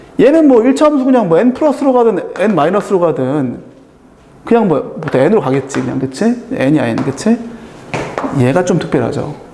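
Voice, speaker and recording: With long, frequent pauses at a moderate pace, a man speaks at a high pitch with very wide pitch swings, in audible room echo with noticeable background noise. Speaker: math tutor. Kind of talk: lecture. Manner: casual.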